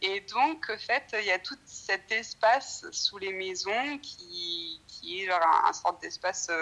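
A woman is talking. Her pace is very slow. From France. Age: young. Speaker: researcher. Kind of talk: casual chat. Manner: halting.

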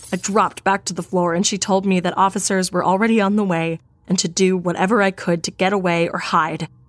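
This is reading aloud in a natural voice with fairly even intonation.

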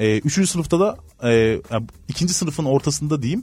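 Speaking very fast, a somewhat breathy man uses lively intonation. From Turkey, Antalya. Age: 30s. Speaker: human resources consultant. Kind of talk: interview.

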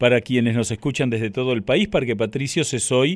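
Here a man talks with a Rioplatense accent. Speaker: radio host. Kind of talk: radio interview.

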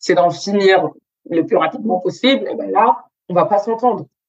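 With ordinary pitch variation around a medium pitch, a woman talks in a plain, everyday voice. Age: 20s. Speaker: student entrepreneur and image consultant. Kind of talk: interview.

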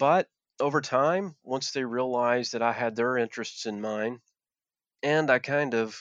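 A man with an Appalachian accent at a moderate pace, ordinary pitch variation, dry, close sound with no echo and a quiet background. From Appalachia, Virginia. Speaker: former coal miner and activist. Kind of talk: interview conversation. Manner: hesitant, with many filler words.

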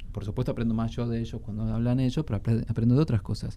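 The voice belongs to a man with a Rioplatense accent. It has a dark, mellow tone at medium pitch. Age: 40s. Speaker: antiquarian bookseller and book collector. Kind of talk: radio interview.

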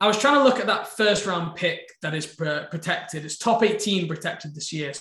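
A man with an English accent speaks fairly quickly at a high pitch, with lively intonation. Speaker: podcast co-host. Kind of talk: casual chat and interview.

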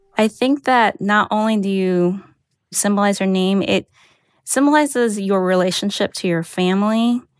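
A woman at medium pitch and a moderate pace, with very even loudness, on a very clean, dry, close recording with a silent background and no echo. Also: ordinary pitch variation. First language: Mandarin. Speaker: editor. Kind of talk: personal storytelling.

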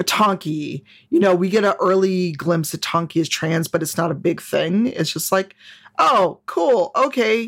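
An ordinary speaking voice with lively intonation at a fairly slow pace, on a very clean recording with a silent background. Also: woman, medium pitch for a woman. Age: 40s. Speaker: game designer and diversity advocate. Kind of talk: casual chat.

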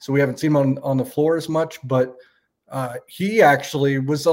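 An ordinary speaking voice with ordinary pitch variation at a fairly quick pace. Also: man. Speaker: sports podcast co-host. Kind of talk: casual sports analysis chat. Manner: conversational, filler-heavy, self-correcting.

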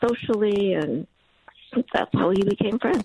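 At a moderate pace, a woman with medium pitch speaks in a dark, mellow tone with vocal fry, the sound dry and close with no echo. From East Los Angeles. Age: 60s. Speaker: caller, retired programmer analyst. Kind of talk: casual chat.

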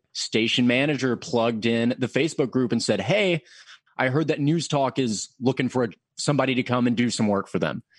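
A man with an American accent and a plain, everyday voice speaks at a medium pitch with ordinary pitch variation and very even loudness, the sound dry and close with no echo. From Middle Tennessee, US South (Murfreesboro). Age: 20s. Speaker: radio news anchor. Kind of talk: casual interview.

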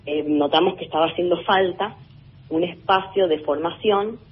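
The pitch moves with ordinary variation. There is noticeable background noise. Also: woman. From Argentina, Tandil (Buenos Aires province). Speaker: orchestra conductor. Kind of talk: interview.

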